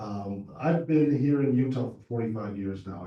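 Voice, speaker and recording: With an American accent, a man speaks at a medium pitch and a moderate pace, his voice somewhat breathy. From Southern California. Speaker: political candidate. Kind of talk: candidate forum speech. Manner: hesitant with many fillers.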